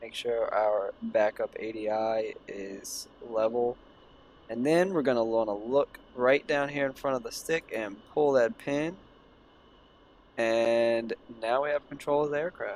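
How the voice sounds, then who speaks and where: A man with an unremarkable speaking voice, medium pitch and ordinary pitch variation, at a fairly slow pace. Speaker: flight sim gaming youtuber. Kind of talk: gameplay tutorial. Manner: casual, filler-heavy.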